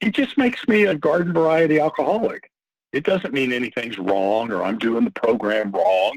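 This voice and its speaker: With an American accent, a man talks at a moderate pace in a fairly high pitch, with very wide pitch swings and vocal fry. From Texas. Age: 60s. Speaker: recovering alcoholic sharing his story. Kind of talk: personal testimony in podcast interview.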